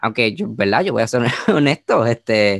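A man at medium pitch with lively intonation, in a dry, close sound with no echo. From Puerto Rico. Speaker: musicologist, master's graduate. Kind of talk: casual chat. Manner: halting.

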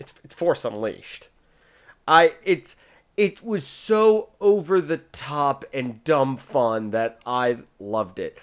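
At a very slow pace, a man with a fairly high pitch makes very wide pitch swings and big swings in loudness. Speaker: podcast host. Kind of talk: casual chat.

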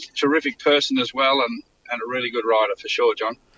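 In a bright, sharp tone with a rural Queensland accent, the voice shows ordinary pitch variation, recorded with a dry, close sound and no echo. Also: man. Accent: Australian (rural Queensland). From Queensland, Australia (Mitchell, Toowoomba). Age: 60s. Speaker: racehorse trainer. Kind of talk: interview. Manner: halting, many fillers and repetitions.

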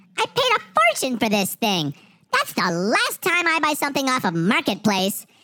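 In a put-on character voice, a female-sounding voice comes out squeaky. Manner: indignant.

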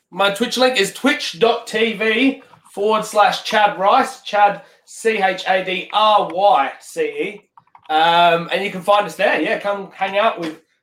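A high-pitched man's voice with an Australian accent, at a very slow pace with ordinary pitch variation. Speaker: sim racing streamer. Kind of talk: casual interview.

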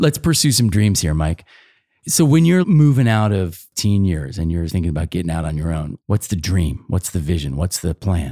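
Lively intonation and a dark, mellow tone carry a moderate pace on a very clean recording with a silent background. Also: man, very deep, low pitch for a man. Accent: American. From suburban Philadelphia. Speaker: podcast host. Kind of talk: interview.

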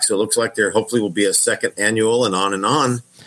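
At a fairly quick pace, a man speaks with fairly even intonation in a plain, everyday voice. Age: 40s. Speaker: fan who attended a strongman event. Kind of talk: casual chat.

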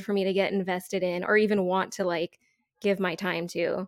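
The recording is very clean, with a silent background. A woman talks at a fairly quick pace in a normal speaking voice. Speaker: podcast guest. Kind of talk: casual chat.

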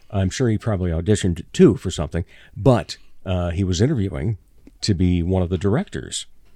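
Over a very clean recording with a silent background, the voice has a dark, mellow tone, ordinary pitch variation, and a fairly quick pace. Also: man, very deep, low pitch for a man. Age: 60s. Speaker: podcast host. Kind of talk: casual chat.

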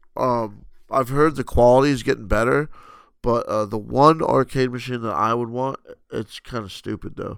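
On a very clean recording with a silent background, a man with an American accent talks at medium pitch and a moderate pace with fairly even intonation. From New Jersey. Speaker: gaming podcast co-host. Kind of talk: casual chat.

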